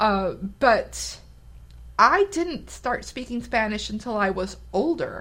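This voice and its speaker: This woman speaks with an American accent at a fairly high pitch. Vocal fry is present in her voice. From US, Mexican American. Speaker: podcast co-host. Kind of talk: casual chat.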